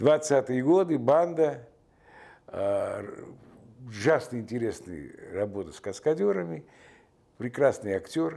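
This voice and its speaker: Using very wide pitch swings, a man speaks at a very slow pace in a dark, mellow tone with long, frequent pauses. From Georgia, Tbilisi; Georgia. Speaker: film director. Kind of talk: interview; interview answer. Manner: hesitant with frequent filler sounds. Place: home room.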